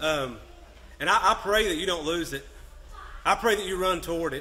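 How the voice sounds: A bright, sharp tone comes at a moderate pace, with audible room echo. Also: man, fairly high pitch for a man, ordinary pitch variation.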